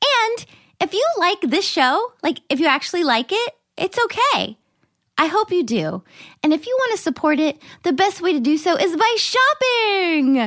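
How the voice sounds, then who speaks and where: A woman with an American accent at an extremely high pitch, very wide pitch swings, very even loudness and a moderate pace. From US South. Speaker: podcast host. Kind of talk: casual chat.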